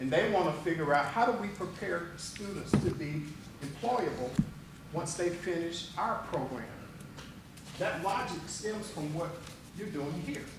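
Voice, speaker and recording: A man speaks at a high pitch and a fairly slow pace, with ordinary pitch variation and long, frequent pauses. Noticeable background noise and audible room echo surround him. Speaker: strategic planning consultant. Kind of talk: presentation at board meeting. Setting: board meeting room with microphones.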